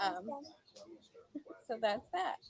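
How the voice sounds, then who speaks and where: The sound is dry and close, with no echo. A woman does the talking. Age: 20s. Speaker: online game contestant. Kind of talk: self-introduction on video call.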